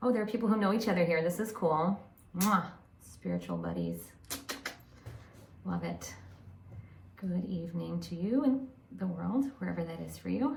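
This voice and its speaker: An animated woman at a moderate pace, with long, frequent pauses and audible room echo. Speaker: psychic medium and spiritual channel. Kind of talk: live stream chat with online audience. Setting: home office, live on camera. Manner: whispering at times.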